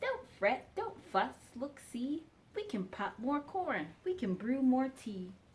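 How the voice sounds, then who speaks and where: Putting on a squeaky character voice, a woman speaks at a fairly slow pace with a high pitch and very wide pitch swings. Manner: reassuring, soothing.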